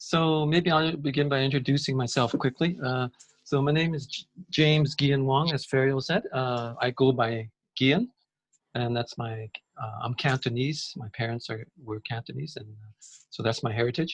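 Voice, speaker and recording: A man with an unremarkable speaking voice talks at a moderate pace, medium in pitch with ordinary pitch variation. The sound is dry and close with no echo, and his loudness swings widely. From Canada. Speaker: systems change advocate. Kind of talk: interview.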